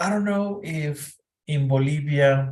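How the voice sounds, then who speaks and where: A man speaks in a somewhat breathy voice. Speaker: English tutor. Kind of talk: online English lesson.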